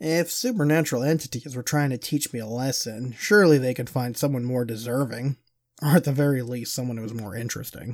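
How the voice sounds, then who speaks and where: In a very clean recording with a silent background, a man speaks in a normal speaking voice at a medium pitch with ordinary pitch variation. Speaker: podcast host and storyteller. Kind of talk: horror story narration, first-person, told as a true account. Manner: hushed, slow, tense, building dread.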